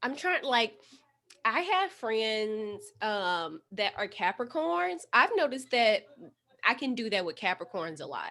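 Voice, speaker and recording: With an American accent, a woman speaks at a fairly slow pace in a fairly high, bright, sharp tone with very wide pitch swings, recorded very cleanly over a silent background. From St. Louis, Missouri. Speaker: podcaster. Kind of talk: casual chat.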